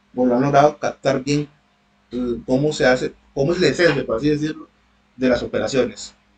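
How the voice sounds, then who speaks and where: Fairly high in pitch and somewhat breathy, a man speaks at a fairly quick pace with ordinary pitch variation. Long, frequent pauses break up his speech. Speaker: university tutor. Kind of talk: online lecture. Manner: fast.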